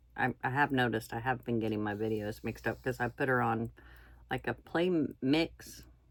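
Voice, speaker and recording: Speaking at a fairly quick pace, a woman with a very deep, low pitch and vocal fry sounds relaxed, her pitch varying in an ordinary way. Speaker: stitching vlogger. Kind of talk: casual chat while crafting. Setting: indoors, camera in front. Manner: quiet, hard to hear; relaxed, halting with fillers.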